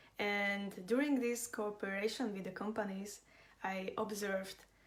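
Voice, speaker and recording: A woman with a Slovak accent talks at a moderate pace and medium pitch. Her intonation is monotone and flat. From Slovakia. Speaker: business and design consultant. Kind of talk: live online class. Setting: livestream.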